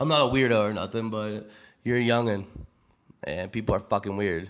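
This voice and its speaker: Animated in tone, a man speaks with an American accent. His pitch is fairly low with ordinary variation. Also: fairly quick pace. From Pittsburgh, Pennsylvania. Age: 20s. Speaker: streamer. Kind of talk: casual chat.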